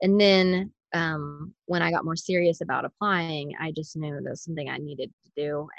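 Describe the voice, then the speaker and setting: In a plain, everyday voice, a woman talks at a moderate pace with an American accent and fairly even intonation, the sound dry and close with no echo. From rural Missouri. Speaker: stay-at-home mom. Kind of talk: casual interview.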